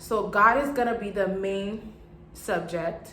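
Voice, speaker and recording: There is audible room echo and noticeable background noise as a woman talks at medium pitch with fairly even intonation. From Haiti. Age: 20s. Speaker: vlogger and clothing brand owner. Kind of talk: casual vlog introduction.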